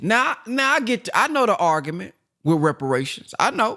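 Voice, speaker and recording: A man with a Southern US accent and very wide pitch swings. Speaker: motivational speaker. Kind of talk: book reading with commentary. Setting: conference call.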